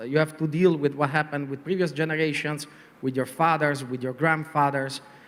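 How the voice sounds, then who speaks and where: This man has a fairly high pitch. He speaks with a strong Italian accent. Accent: heavy Italian. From Italy. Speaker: advertising executive. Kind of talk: panel interview. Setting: conference panel. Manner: hesitant, many fillers.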